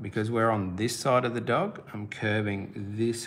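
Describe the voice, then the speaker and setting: A man with an Australian accent talks at a very slow pace, his fairly low voice showing ordinary pitch variation. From South Australia. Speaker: art teacher. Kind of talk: live-stream drawing tutorial. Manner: casual, encouraging.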